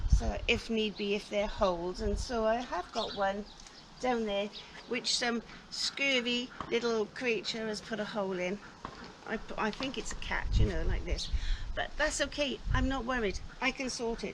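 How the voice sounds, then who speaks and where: Noticeable background noise sits behind a woman who speaks at a moderate pace in a fairly high pitch with ordinary pitch variation. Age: 60s. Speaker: smallholder vlogger. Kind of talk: casual vlog walkthrough.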